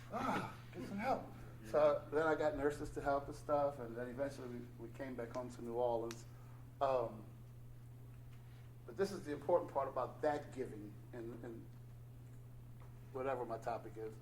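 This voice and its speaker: Man at a moderate pace in a medium pitch, fairly even intonation and vocal fry, long, frequent pauses, big swings in loudness, audible room echo. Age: 60s. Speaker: recovering addict, meeting speaker. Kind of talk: testimony at recovery meeting.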